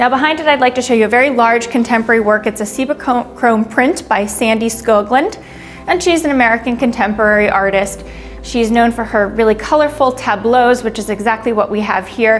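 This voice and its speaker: A woman speaks at a fairly quick pace while music plays in the background. Her pitch is fairly high, with ordinary variation. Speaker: auction house art specialist presenting lots. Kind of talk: art lot presentation, informative.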